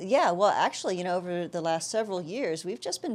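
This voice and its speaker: A woman with an American accent talks at medium pitch and a fairly quick pace. Hers is a normal speaking voice with ordinary pitch variation. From South Texas. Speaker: tech startup CEO and architecture lecturer. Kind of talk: interview.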